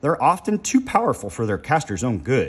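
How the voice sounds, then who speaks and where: In a put-on character voice that is raspy and croaky, a man talks at a fairly quick pace with a fairly high pitch, on a very clean recording with a silent background. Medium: read story. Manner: condescending, lecturing.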